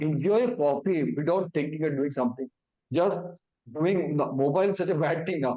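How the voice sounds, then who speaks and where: Intonation lively and pace moderate, a man speaks with an Indian accent. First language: Hindi. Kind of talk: awareness talk. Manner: halting.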